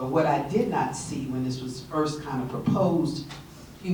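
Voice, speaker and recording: Amid noticeable background noise and audible room echo, a woman with a very deep, low pitch talks at a fairly slow pace. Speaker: audience member, community volunteer. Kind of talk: audience question at symposium.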